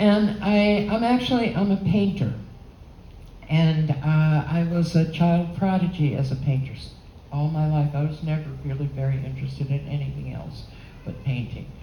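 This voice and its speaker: With audible room echo around her, a woman speaks at a very deep, low pitch with lively intonation. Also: moderate pace. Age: 80s+. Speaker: holography expert and painter giving a talk. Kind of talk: lecture. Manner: halting.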